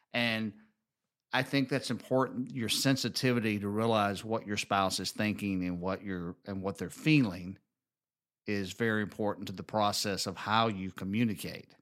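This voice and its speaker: On a very clean recording with a silent background, a man speaks with a Southern US accent. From US South, Alabama. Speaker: podcast host, married couple show. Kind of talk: casual conversational podcast chat.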